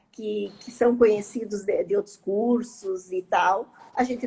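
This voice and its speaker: A woman's fairly high-pitched voice with a dark, mellow tone. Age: 60s. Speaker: yoga and meditation teacher. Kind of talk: casual chat.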